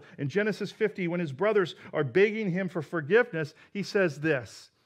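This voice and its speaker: A man with a high voice speaks at a very fast pace in an animated tone, with ordinary pitch variation. The background is quiet. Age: 40s. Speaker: pastor. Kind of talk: sermon.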